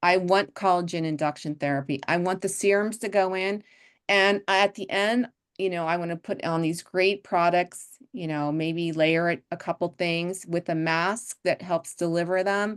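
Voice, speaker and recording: Over a quiet background, a normal speaking voice moves at a moderate pace with fairly even intonation. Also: woman, fairly low pitch for a woman. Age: 60s. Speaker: skincare expert. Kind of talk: webinar discussion.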